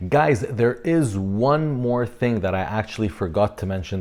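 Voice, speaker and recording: A man speaks with an Arabic accent at a moderate pace. His tone is dark and mellow, and his intonation is lively. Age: 30s. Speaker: fitness coach and YouTuber. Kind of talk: casual vlog talk to camera. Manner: halting, with fillers.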